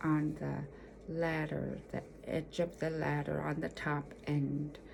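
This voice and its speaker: In an Alaskan accent, a woman speaks at a very slow pace. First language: Yupik. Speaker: storyteller. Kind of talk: personal storytelling. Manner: halting, many fillers.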